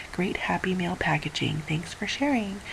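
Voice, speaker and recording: Whispering from a woman, with noticeable background noise around it. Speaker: craft youtuber. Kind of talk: casual vlog. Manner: halting.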